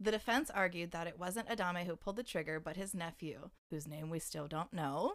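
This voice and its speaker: A woman talks fairly quickly with hardly any pauses, in an ordinary speaking voice. Her pitch is fairly low, with ordinary pitch variation. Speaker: podcast co-host. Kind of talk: true-crime narration read from a source. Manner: steady, serious reading, then chatty and joking.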